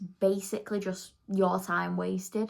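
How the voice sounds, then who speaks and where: A woman with a slight Manchester accent and a medium pitch. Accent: slight Manchester accent picked up. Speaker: beauty vlogger. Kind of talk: casual chat. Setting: at home doing makeup. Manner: chatty, filler-heavy.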